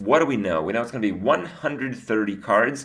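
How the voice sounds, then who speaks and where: A man speaks at medium pitch with lively intonation, his voice carrying audible room echo over noticeable background noise. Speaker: gaming video creator. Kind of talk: card review commentary. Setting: studio. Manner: casual with filler words.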